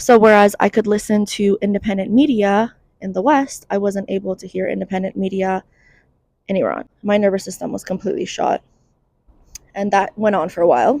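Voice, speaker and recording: A woman speaks fairly quickly at a medium pitch, with ordinary pitch variation. Her tone is dark and mellow, and the sound is dry and close with no echo. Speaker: mental health content creator. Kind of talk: casual vlog monologue. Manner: conversational, informal.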